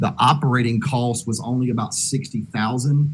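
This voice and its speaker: With a Southern US accent, a man speaks at a medium pitch in a somewhat breathy voice with fairly even intonation. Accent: southern US drawl. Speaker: disaster relief organizer. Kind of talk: video conference discussion. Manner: hesitant, many fillers.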